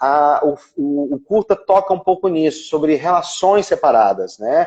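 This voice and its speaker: Fairly slow speech from a man, with pitch varying in an ordinary way. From Brazil, Ceará. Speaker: actor and screenwriter. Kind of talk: interview on a live stream. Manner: halting, many fillers and repetitions.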